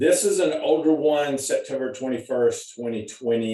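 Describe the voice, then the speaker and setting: At a fairly slow pace, a man talks with a Texas accent. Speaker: college nutrition professor. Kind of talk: lecture. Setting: video call. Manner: halting, repetitive.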